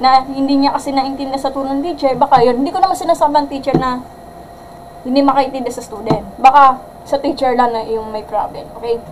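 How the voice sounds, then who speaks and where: A loud woman talks at a fairly quick pace in a high voice with fairly even intonation. Noticeable background noise runs underneath. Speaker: math teacher. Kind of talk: livestream lesson. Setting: livestream.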